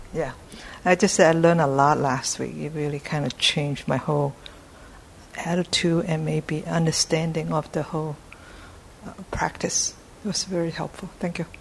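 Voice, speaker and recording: With fairly even intonation and a very deep, low pitch, a woman talks at a moderate pace with long, frequent pauses over noticeable background noise. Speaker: class participant. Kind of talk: casual class comment.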